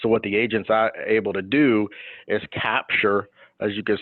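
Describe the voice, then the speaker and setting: A man with a fairly low pitch and an ordinary speaking voice. He talks at a moderate pace. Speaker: insurance annuity specialist. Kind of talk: webinar presentation.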